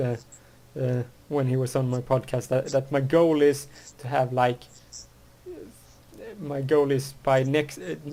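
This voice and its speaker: A man with a medium pitch and fairly even intonation talks with long, frequent pauses. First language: Swedish. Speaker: podcast host. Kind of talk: casual chat. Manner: halting, many false starts.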